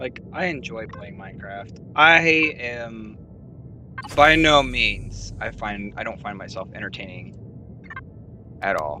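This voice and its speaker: Pausing long and often, a man speaks at a fairly slow pace with very wide pitch swings and big shifts in loudness. There is noticeable background noise and audible room echo. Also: medium pitch for a man. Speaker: fellow content creator. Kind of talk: casual chat.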